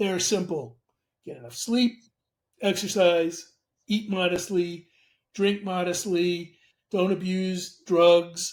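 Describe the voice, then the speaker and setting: Against a silent background in a very clean recording, a man speaks at a fairly slow pace in a high pitch with fairly even intonation. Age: 70s. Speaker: medical ethicist. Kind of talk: interview conversation.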